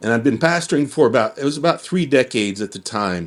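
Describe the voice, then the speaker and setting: This is a man speaking. His pace is moderate. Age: 50s. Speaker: pastor and church district leader. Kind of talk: testimony. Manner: halting, many repeated words and fillers.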